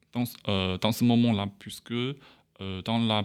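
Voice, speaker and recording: A man speaks with a Chinese accent and fairly even intonation. The recording is very clean with a silent background. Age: 20s. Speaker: international student. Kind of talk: casual interview. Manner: halting.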